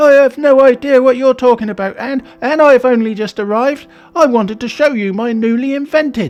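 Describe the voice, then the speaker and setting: A man's squeaky put-on character voice at an extremely high pitch, fairly quick, with faint music in the background. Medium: read story. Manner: stammering, flustered.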